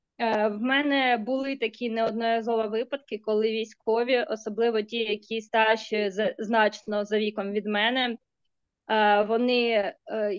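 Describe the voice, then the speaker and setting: With a Ukrainian accent, a woman speaks at a moderate pace in a fairly high pitch, her intonation monotone and flat. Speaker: psychologist. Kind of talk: Q&A discussion. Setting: video call.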